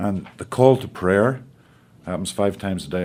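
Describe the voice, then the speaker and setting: With a Northern Irish accent, a man in a dark, mellow tone talks at a moderate pace with ordinary pitch variation. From Northern Ireland. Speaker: actor. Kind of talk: interview answer. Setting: studio.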